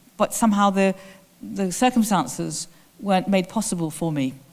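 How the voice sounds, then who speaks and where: Here a woman speaks with an English accent. Her pitch is medium and her pace moderate. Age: 60s. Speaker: theatre director. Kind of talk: lecture Q&A answer.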